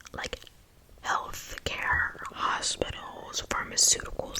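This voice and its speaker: A woman whispers at a very slow pace. Noticeable background noise can be heard. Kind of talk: ASMR whisper ramble. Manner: whispered; casual, rambling.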